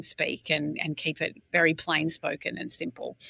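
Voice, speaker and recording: In an Australian accent, a woman speaks with a very deep, low pitch, a bright, sharp tone and vocal fry. The sound is dry and close, with no echo. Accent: Australian, retained. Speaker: brand executive. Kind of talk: casual interview. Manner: direct.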